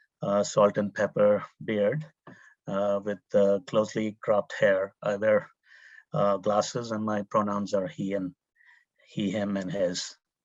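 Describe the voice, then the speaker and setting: In an Indian accent, a man talks at a very slow pace with a fairly low pitch, in a dry, close sound with no echo. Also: quiet background. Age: 50s. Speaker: urban planning professor. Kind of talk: panel presentation. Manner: halting, many fillers.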